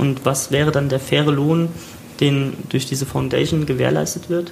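A man with a fairly high pitch speaks at a moderate pace. Noticeable background noise and audible room echo fill the recording. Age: 30s. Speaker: podcast host. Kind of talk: casual chat. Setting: recorded in a shop.

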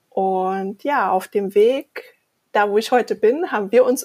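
In a very clean recording with a silent background, a woman talks at a very slow pace. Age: 40s. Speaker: podcast co-host. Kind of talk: casual chat.

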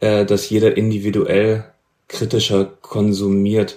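A man speaks at a very slow pace. His fairly low pitch keeps a fairly even intonation. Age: 30s. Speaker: podcast host, music journalist. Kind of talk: interview.

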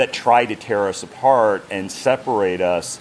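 The voice belongs to a man with a fairly low pitch. Noticeable background noise runs underneath. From United States. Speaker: game company brand ambassador. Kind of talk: interview.

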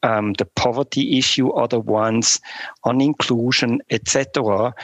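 An ordinary speaking voice moves at a fairly slow pace with fairly even intonation, in a dry, close sound with no echo. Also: man. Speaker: startup business lead. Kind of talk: interview. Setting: remote call.

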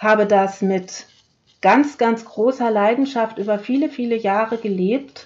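Ordinary pitch variation at a fairly slow speed, from a woman with a medium pitch. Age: 40s. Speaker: podcast host, heart-healing coach. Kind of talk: solo podcast monologue. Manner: warm, direct address to listener.

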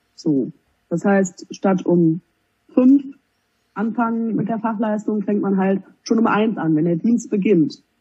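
A woman's somewhat breathy voice at a very slow pace, with lively intonation and long, frequent pauses. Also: medium pitch for a woman. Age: 20s. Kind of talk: interview.

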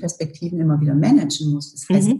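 A woman speaks in a plain, everyday voice at a fairly quick pace. Her pitch variation is ordinary. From Germany, Allgäu (rural Bavarian Swabia). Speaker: corporate communications director. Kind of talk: interview.

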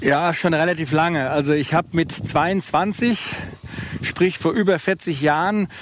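Speaking very slowly in a Hessian accent, a man with a high voice and ordinary pitch variation is heard over noticeable background noise. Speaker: business executive with diabetes. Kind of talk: casual chat. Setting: outdoors.

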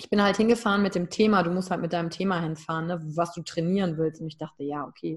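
A woman talks at a very fast pace with hardly any pauses, her pitch fairly low. Her voice is somewhat breathy, with big swings in loudness. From Germany, Wülfrath (Rhineland). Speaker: emotional intelligence coach and keynote speaker. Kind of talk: interview, personal story. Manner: animated.

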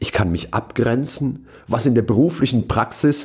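Vocal fry from a man, medium in pitch, at a moderate pace. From western Germany (Rhineland-Palatinate), partly South Tyrol. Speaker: keynote speaker and podcast host. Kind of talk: reading aloud his own written essay.

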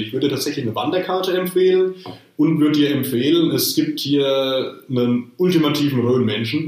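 A man's fairly high voice at a fairly quick pace, with ordinary pitch variation and audible room echo. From Rhön, Lower Franconia. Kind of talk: casual chat. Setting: video call.

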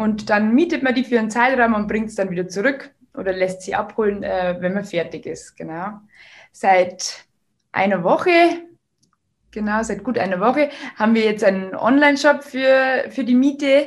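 This woman has a fairly high pitch and lively intonation, and she talks at a moderate pace. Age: 20s. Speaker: business owner. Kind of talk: interview. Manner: hesitant, many filler sounds.

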